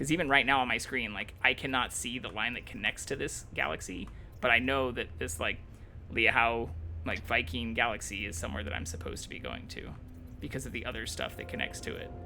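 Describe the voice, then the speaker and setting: A man talks fairly quickly at a medium pitch with lively intonation, over music in the background. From Kansas. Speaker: streamer. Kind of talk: casual gaming livestream chat. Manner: fast.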